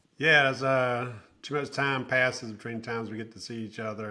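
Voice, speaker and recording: A man with a Southern US accent speaks at a moderate pace and a medium pitch, his tone bright and sharp and his intonation fairly even. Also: big swings in loudness. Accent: Southern US, held on to. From South Carolina (Aiken). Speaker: nonprofit executive. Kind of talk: podcast interview.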